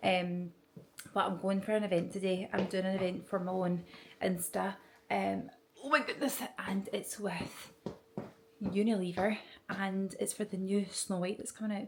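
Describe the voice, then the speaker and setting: Whispering with a Scottish accent, a woman leaves long, frequent pauses over noticeable background noise. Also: moderate pace. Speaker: podcaster and vlogger. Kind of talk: casual vlog monologue. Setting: at home early morning, then airport.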